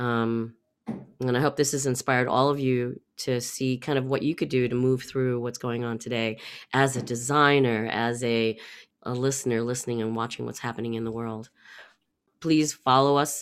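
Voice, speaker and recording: Recorded very cleanly against a silent background, a woman with a very deep, low pitch speaks at a moderate pace in a monotone, flat intonation. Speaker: podcast host. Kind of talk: casual interview.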